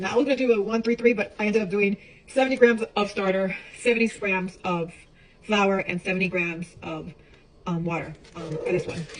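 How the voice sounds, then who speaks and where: A woman speaks at medium pitch with ordinary variation. Noticeable background noise is present. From Chicago and Puerto Rico. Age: 40s. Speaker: home baker vlogger. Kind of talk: casual vlog tutorial. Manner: talkative, chatty; hesitant, many fillers.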